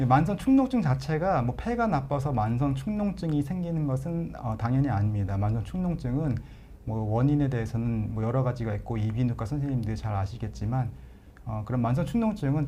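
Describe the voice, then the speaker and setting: Speaking at a fairly quick pace, a man with a medium pitch and a dark, mellow tone sounds somewhat breathy, his intonation lively amid audible room echo. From Chungcheong, Korea. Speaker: pulmonologist, professor. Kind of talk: live Q&A, medical explanation. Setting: live broadcast. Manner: hesitant fillers, conversational.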